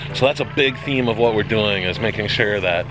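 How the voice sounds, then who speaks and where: Music runs behind this man's voice. He talks at a fairly quick pace. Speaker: pond and waterfall installer. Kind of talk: casual vlog talk to camera. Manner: upbeat, animated.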